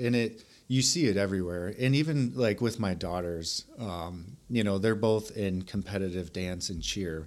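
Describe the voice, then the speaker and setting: Here a man with an American accent uses an unremarkable speaking voice, fairly low in pitch with ordinary pitch variation, at a moderate pace on a very clean recording with a silent background. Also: hardly any pauses. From US Midwest, Milwaukee, Wisconsin. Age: 30s. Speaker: army recruiter. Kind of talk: casual interview.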